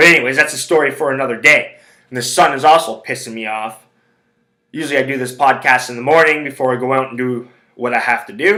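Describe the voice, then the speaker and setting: The voice has a bright, sharp tone at a very fast pace. Its loudness swings widely. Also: man, medium pitch for a man, ordinary pitch variation. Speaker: sports handicapping podcaster. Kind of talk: casual solo podcast monologue. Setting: home recording.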